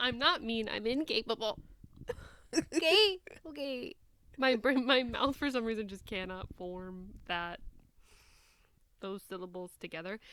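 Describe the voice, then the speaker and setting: A woman with a Midwestern accent talks at a fairly slow pace, with long, frequent pauses and a fairly high pitch. Her tone is bright and sharp, with very wide pitch swings and big swings in loudness. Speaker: podcast host. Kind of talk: casual chat.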